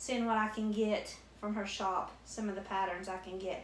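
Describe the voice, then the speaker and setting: Over noticeable background noise and audible room echo, a woman with a Southwest Virginia accent talks at a moderate pace, her fairly high pitch holding fairly even intonation. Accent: Southwest Virginia country. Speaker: crochet YouTuber. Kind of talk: casual unboxing chat.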